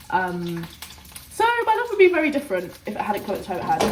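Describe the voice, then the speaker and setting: A woman talks at a fairly quick pace. Noticeable background noise and audible room echo surround her voice. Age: young. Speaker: vlogger. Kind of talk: casual vlog chat. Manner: fast.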